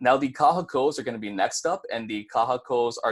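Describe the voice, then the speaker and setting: With a Hawaiian accent, a man speaks at a fairly quick pace in a medium-pitched voice with ordinary pitch variation, captured in a very clean recording with a silent background. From Hawaii, Maui. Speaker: university student presenter. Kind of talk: tutorial. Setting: live stream. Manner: fast.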